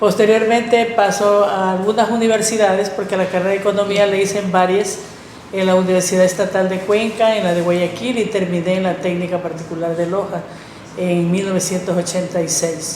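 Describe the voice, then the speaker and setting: Over noticeable background noise and audible room echo, a woman speaks at medium pitch in a monotone, flat way and at a fairly quick pace. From Ecuador, El Oro (Arenillas). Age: 60s. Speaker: teacher. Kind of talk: podcast interview, life story.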